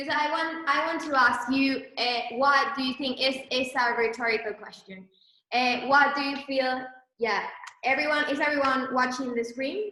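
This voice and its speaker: Raised and projected, a woman's high-pitched voice with a bright, sharp tone and fairly even intonation moves at a moderate pace amid audible room echo. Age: 20s. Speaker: entrepreneur, clothing brand co-founder. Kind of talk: presentation to online audience. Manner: hesitant, many fillers.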